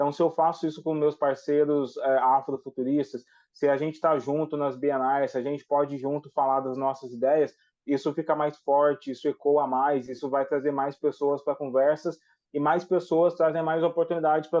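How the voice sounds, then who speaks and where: A man's fairly high-pitched voice stays monotone, his intonation flat. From Brazil, Cruzeiro (São Paulo–Minas Gerais border). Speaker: writer and activist. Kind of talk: TV interview.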